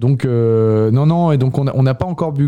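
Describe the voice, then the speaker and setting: The man's voice sits at a medium pitch, moving with ordinary variation at a moderate speed. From France, Yvelines. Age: 20s. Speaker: biology student. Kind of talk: radio interview. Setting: radio studio. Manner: halting, many hesitations.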